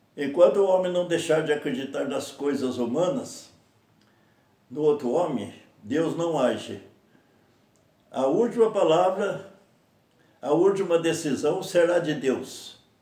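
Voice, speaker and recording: This man talks at a fairly slow pace with a high pitch, lively intonation, long and frequent pauses, and audible room echo. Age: 80s+. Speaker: lay preacher. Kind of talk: sermon.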